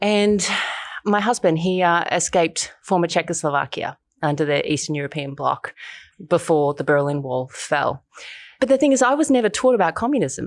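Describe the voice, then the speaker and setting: At a moderate pace and with very wide pitch swings, someone speaks with an Australian accent on a very clean recording with a silent background. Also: woman, fairly low pitch for a woman. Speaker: human rights activist and documentary filmmaker. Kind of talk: interview.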